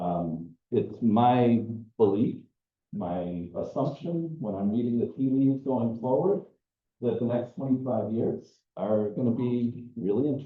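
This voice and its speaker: Speaking at a fairly slow pace, a man with an American accent uses a medium pitch and lively intonation. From US Midwest. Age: 60s. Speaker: environmental educator. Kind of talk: lecture.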